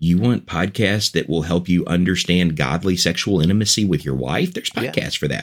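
A man with very deep, low pitch and vocal fry, at a fairly quick pace with hardly any pauses and ordinary pitch variation, on a very clean recording with a silent background. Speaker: podcaster and evangelist. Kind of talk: casual interview chat. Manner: enthusiastic.

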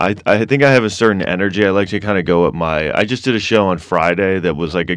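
This man, with an American accent, talks at a very fast pace with hardly any pauses. His pitch is very deep and low. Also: ordinary pitch variation. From New York City (Manhattan). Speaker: stand-up comedian. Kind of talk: casual chat.

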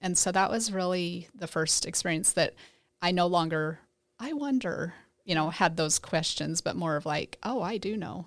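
In a very clean recording with a silent background, a woman with an American accent speaks at a moderate pace with a fairly low pitch and ordinary pitch variation. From Idaho, US. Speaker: church member sharing faith story. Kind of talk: casual interview, faith testimony.

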